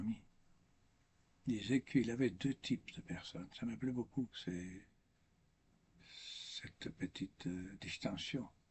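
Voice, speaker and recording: A man with a non-native accent speaks very slowly, with long, frequent pauses. His voice is somewhat breathy, with ordinary pitch variation. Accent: foreign accent in French, makes mistakes. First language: not French (speaking French). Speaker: priest or religious speaker. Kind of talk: spiritual talk. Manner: halting, with repetitions.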